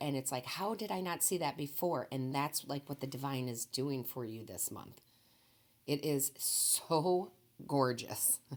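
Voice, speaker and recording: Putting on a character voice, a woman speaks at a moderate pace in a very deep, low pitch, raspy and with lively intonation. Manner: passionate.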